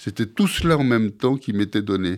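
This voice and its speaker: A man with very wide pitch swings in a very clean recording over a silent background. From Marseille, southern France. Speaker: writer and teacher on spiritual practice. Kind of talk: radio interview. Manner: halting, with many repetitions.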